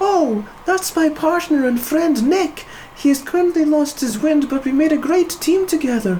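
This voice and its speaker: Someone puts on a squeaky, high-pitched character voice at a moderate pace. Background noise is clearly audible. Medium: read story. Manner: earnest, upbeat.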